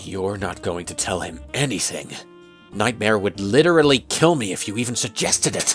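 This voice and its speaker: A woman's put-on character voice, very deep and low in pitch, at a moderate pace over clear background music. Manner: irritated, defensive.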